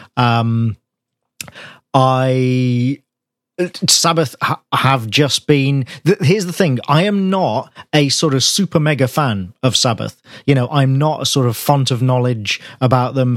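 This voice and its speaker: A man speaks in a plain, everyday voice at a fairly slow pace, medium in pitch with ordinary pitch variation, and the sound is dry and close with no echo. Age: 40s. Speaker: podcast co-host, music reviewer. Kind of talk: casual chat.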